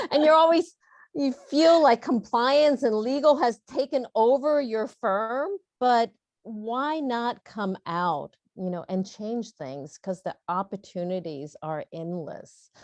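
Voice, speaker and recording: Captured in a dry, close sound with no echo over a quiet background, a woman speaks very slowly at a fairly high pitch, with very wide pitch swings and big swings in loudness. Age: 60s. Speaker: startup founder and CEO. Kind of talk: panel discussion. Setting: virtual panel session.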